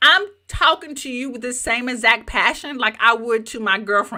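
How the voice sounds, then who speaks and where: Delivered at a moderate pace in a Southern US accent, this voice is animated, with lively intonation, on a very clean recording over a silent background. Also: woman. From US South. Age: 50s. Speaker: YouTube coach. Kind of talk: live training.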